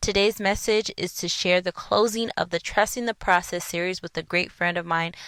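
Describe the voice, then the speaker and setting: A woman with a normal speaking voice talks at a moderate pace, with hardly any pauses. Her pitch is medium and her intonation fairly even. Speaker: podcast host. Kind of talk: podcast intro.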